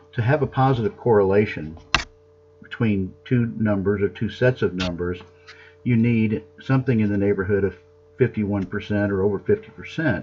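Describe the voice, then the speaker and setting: Music plays behind a man speaking at a fairly quick pace. His pitch is fairly low, with ordinary variation. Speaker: accounting professor. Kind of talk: lecture. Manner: fast.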